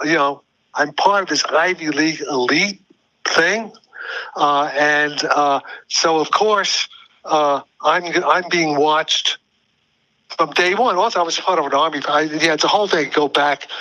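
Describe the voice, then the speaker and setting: With a New York accent, a man speaks fairly slowly in a fairly high pitch, with ordinary pitch variation. His loudness stays very even, broken by long, frequent pauses. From US Northeast (New York City, Brooklyn). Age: 80s+. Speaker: physicist. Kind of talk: interview. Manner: halting.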